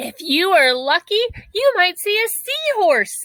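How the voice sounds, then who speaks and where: A woman's squeaky put-on character voice, extremely high in pitch with very wide pitch swings, at a fairly slow pace. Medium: read story.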